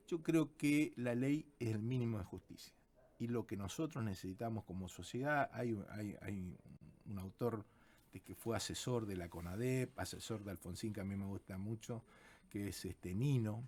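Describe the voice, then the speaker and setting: On a very clean recording with a silent background, a man with an ordinary speaking voice talks at a moderate pace and medium pitch, with ordinary pitch variation. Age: 60s. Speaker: constitutional lawyer. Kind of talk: radio interview.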